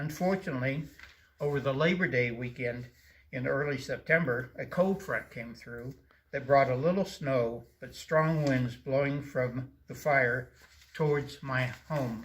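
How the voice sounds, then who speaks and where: Fairly slow and somewhat breathy, a man talks at a fairly high pitch with ordinary pitch variation. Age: 70s. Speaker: wildfire victim, retired construction worker. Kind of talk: personal testimony.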